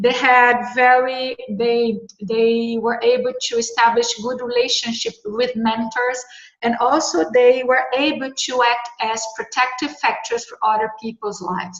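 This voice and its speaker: A high-pitched woman with a Brazilian Portuguese accent speaks at a fairly slow pace with fairly even intonation. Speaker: researcher. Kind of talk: panel discussion. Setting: video call. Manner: halting.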